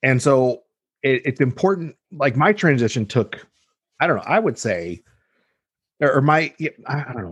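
Speaking in a Californian accent, a man uses vocal fry and very wide pitch swings at a moderate pace, with long, frequent pauses. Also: medium pitch for a man, quiet background. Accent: Californian American English. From Los Angeles. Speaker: dietitian. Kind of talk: interview conversation. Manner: halting, many repetitions.

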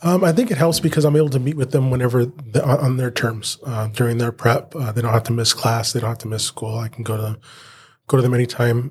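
A somewhat breathy man's voice with fairly even intonation. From Southern California (Inland Empire). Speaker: teacher and union president. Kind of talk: interview. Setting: not in the studio.

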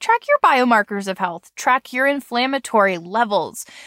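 A bright, sharp tone rings out from a raised, projected voice. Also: woman. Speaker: podcast host. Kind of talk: casual chat.

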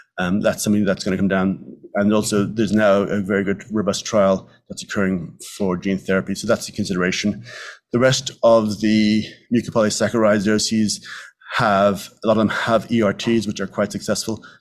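On a very clean recording with a silent background, a man in a Dublin accent speaks at a fairly low pitch with monotone, flat intonation. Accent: Irish (Dublin). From Ireland, Dublin. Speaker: physician, medical geneticist. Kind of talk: lecture. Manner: fast.

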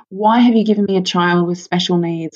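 Her accent is Australian. The woman's pitch rises and falls in an ordinary way. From Australia, Sydney. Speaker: mother and charity worker. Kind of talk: testimony.

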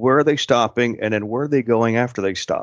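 The man has a normal speaking voice at a medium pitch, and his pitch variation is ordinary. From Pittsburgh, Pennsylvania. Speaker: tourism executive. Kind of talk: interview.

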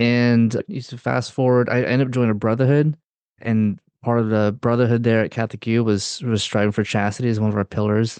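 Fairly quick and fairly even in intonation, a man talks at a medium pitch. He has an ordinary speaking voice. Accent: American. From US South, North Carolina. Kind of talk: interview.

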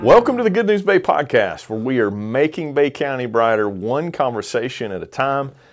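A man's fairly high-pitched voice with a Southern US accent, very wide pitch swings, a moderate pace and hardly any pauses. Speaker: podcast host and pastor. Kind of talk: casual interview chat.

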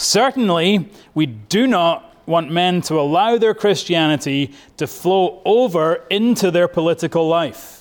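A man with a Scottish accent speaks in a high voice at a fairly slow pace. His intonation is lively and his loudness stays very even. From Scotland. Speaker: pastor. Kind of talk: sermon.

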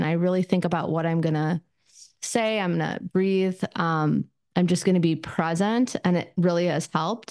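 Here is a woman with an unremarkable speaking voice at medium pitch. She keeps a moderate pace, and her pitch varies in an ordinary way. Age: 50s. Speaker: therapist podcaster. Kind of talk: solo podcast talk, casual. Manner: casual, filler-heavy, conversational.

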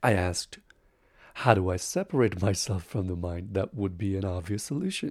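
A man with an Indian accent speaks at a moderate pace in a fairly low pitch, somewhat breathy, with ordinary pitch variation. The recording is very clean, with a silent background. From Bihar, northern India. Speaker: spiritual teacher and life coach. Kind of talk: personal monologue talk.

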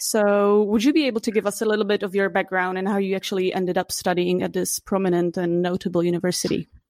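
A woman with a Czech accent at a very fast pace, with fairly even intonation and very even loudness, in a very clean recording with a silent background. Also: medium pitch for a woman, hardly any pauses. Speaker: podcast host. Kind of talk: interview, casual chat.

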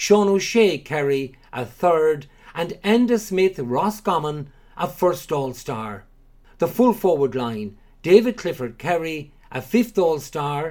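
A man talks at a very slow pace. His fairly high pitch moves in very wide swings. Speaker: Gaelic games commentator. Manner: measured, formal, clear; steady rhythm with short pauses between names and awards.

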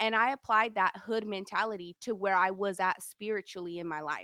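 A woman speaks at a moderate pace in a medium pitch with a bright, sharp tone. The recording is very clean and dry, close with no echo, over a silent background. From Sacramento area, California. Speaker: podcaster and mother. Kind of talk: interview.

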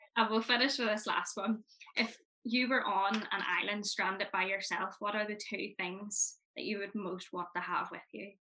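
A woman speaks at a medium pitch and a moderate pace. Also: fairly even intonation. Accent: Northern Irish. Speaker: podcast host, youth organisation representative. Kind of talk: casual interview.

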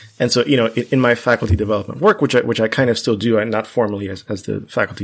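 Over a silent background in a very clean recording, a man with a Spanish accent talks very fast with ordinary pitch variation. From US, Cuban-American family. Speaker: math professor. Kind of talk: interview conversation.

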